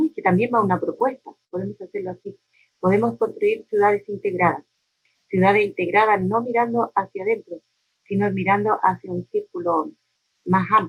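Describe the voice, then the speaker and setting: A somewhat breathy woman at a moderate pace, ordinary pitch variation, dry, close sound with no echo. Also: medium pitch for a woman. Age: 60s. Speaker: neighborhood community leader. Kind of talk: interview.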